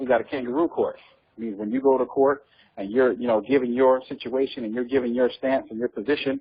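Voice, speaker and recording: A man at medium pitch with fairly even intonation and a fairly quick pace. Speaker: guest speaker on legal topics. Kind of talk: teleconference talk. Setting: phone conference call. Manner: fast; hesitant, many fillers.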